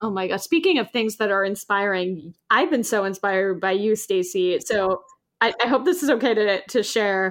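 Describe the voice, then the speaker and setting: A plain, everyday voice speaks at a moderate pace with ordinary pitch variation against a quiet background. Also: woman, medium pitch for a woman. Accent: American. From New York City. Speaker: podcast host, actor and producer. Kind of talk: casual interview chat.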